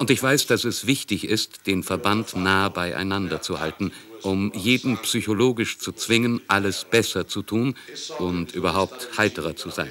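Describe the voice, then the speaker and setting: A man with an unremarkable speaking voice, fairly low in pitch, at a fairly slow pace with ordinary pitch variation. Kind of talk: testimony, German voice-over of recollection.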